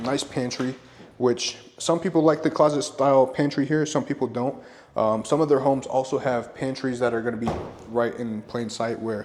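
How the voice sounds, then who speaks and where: The pace is fairly quick. The tone is upbeat. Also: man. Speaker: real estate agent. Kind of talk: home tour walkthrough. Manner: fast; casual, upbeat.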